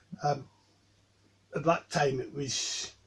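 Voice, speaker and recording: Background noise is clearly noticeable. Through it, a man's voice comes across. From Scotland, Dundee. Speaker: Wiccan high priest. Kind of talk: interview. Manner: measured, with frequent ums.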